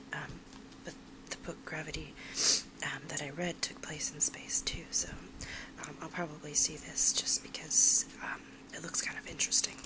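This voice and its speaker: A woman whispers with long, frequent pauses. Her loudness swings widely over noticeable background noise. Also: moderate pace. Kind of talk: ASMR soft-spoken magazine browsing; casual talk to camera. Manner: soft-spoken.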